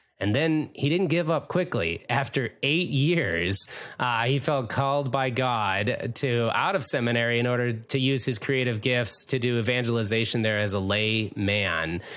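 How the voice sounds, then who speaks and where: With an American accent and an unremarkable speaking voice, a man talks at a medium pitch and moderate pace, with lively intonation, very even loudness and hardly any pauses. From Minnesota. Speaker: podcast host. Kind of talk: interview.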